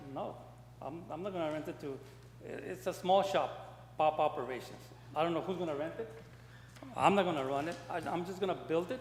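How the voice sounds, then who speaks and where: Fairly high-pitched man with ordinary pitch variation and a fairly quick pace broken by long, frequent pauses, with audible room echo. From El Paso, Texas. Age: 80s+. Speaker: property owner applicant. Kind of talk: public meeting testimony. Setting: city commission meeting. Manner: halting, repetitive.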